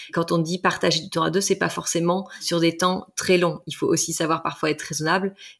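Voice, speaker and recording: At a moderate pace, a woman with a fairly low pitch speaks in a very clean recording with a silent background. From Brittany, France. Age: 40s. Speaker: couples relationship coach. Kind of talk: interview conversation.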